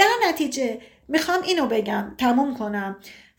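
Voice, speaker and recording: There is audible room echo as a woman speaks at a high pitch. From Iran, Tabriz. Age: 30s. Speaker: sociologist. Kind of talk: casual chat.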